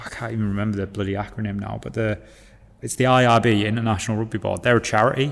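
A man speaks with a Yorkshire accent. His pitch is fairly low, with ordinary pitch variation. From northern England, Hull. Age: 20s. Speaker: rugby player and teacher. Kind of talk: casual chat.

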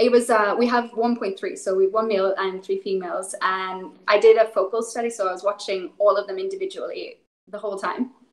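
A woman speaks with a Northern Irish accent at a fairly high pitch. Her pace is fairly quick and her intonation lively. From Northern Ireland, rural. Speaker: animal welfare specialist. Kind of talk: interview.

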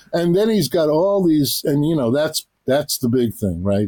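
Speaking with a New York accent, a man uses lively intonation in a dark, mellow tone. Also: dry, close sound with no echo. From New York City, Queens. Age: 70s. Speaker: author and journalist. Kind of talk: interview. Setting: remote call.

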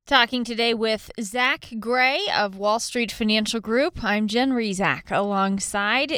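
A woman's fairly high voice at a very slow pace, with ordinary pitch variation, very even loudness and hardly any pauses, over noticeable background noise. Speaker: radio host. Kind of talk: radio interview, casual chat. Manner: warm, friendly.

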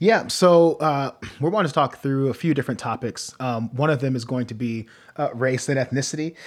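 This man has a normal speaking voice, a medium pitch and an American accent, with ordinary pitch variation. He speaks at a fairly quick pace in a very clean recording with a silent background. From US Midwest, Norwalk, Ohio. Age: 20s. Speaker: pastor and podcast host. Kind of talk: casual chat.

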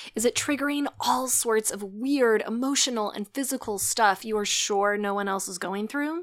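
A woman speaks at a moderate pace with a fairly high pitch. She has an ordinary speaking voice, and her pitch varies in an ordinary way. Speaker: podcast host and author. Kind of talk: promotional intro and outro.

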